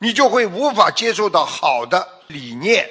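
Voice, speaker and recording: A man speaks in a raised, projected voice. The background is quiet. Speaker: religious teacher. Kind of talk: sermon. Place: stage. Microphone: studio mic.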